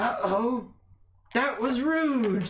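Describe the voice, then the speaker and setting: The speaker uses a put-on character voice. It sits at a fairly high pitch. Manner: eerie, mock-rude.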